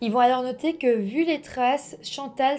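A woman's calm, high-pitched voice at a moderate pace. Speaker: true-crime YouTuber. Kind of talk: true-crime narration, scripted storytelling to camera. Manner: calm, measured, storyteller tone with friendly asides. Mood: serious, calm narration. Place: home room.

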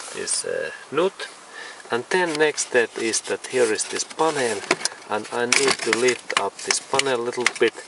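Dry, echo-free sound over loud background noise at a fairly slow pace. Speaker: car repair tutorial maker. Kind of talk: tutorial. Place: car. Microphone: phone near.

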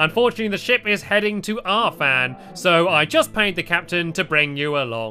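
A put-on character voice from a woman at medium pitch, with clear music in the background

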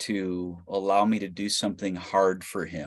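At a very slow pace, a man speaks in a fairly low pitch. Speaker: missionary; panelist. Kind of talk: panel discussion. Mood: earnest, reflective. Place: home room. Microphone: video call.

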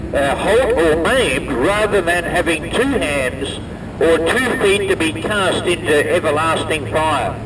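The speech moves at a fairly slow pace, with noticeable background noise behind it. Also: man. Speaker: street preacher. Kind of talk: scripture reading aloud. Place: street. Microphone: camera far.

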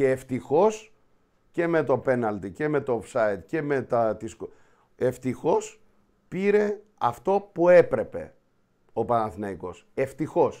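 In a quiet setting, a man with a fairly high pitch and a dark, mellow tone speaks very slowly, his pitch swinging very widely. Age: 50s. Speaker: show host. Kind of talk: casual football talk show. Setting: studio. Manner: animated. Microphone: webcam.

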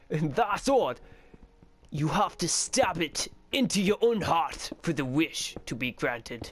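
A man puts on a high-pitched character voice with a British accent, speaking at a fairly slow pace.

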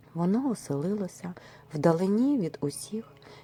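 The intonation is lively throughout this natural reading voice.

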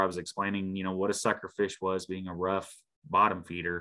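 Against a quiet background, a man speaks at a moderate pace with an Ozarks accent. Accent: Missouri Ozarks rural American. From Missouri Ozarks, Shannon County; Missouri. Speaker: park ranger; presenter. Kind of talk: presentation. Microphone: video call.

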